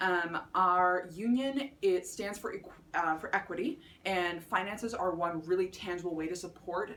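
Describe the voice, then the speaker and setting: Ordinary pitch variation with a Canadian accent. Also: woman. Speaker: student election candidate. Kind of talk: campaign speech. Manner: fast; many filler words and restarts.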